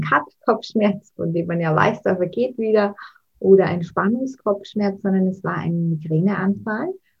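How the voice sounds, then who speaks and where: At a fairly slow pace, a woman with a slight Austrian accent talks with ordinary pitch variation. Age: 30s. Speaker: mental coach and author. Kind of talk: interview.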